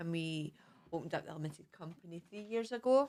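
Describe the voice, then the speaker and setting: The woman's pitch sits fairly low. She talks at a fairly quick pace. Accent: Scottish. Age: 40s. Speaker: mindfulness teacher. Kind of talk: casual chat.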